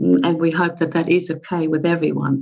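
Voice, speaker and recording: A woman's fairly low, dark, mellow voice with ordinary pitch variation. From Germany. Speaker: webinar moderator. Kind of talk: conference moderation. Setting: video call. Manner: hesitant with fillers.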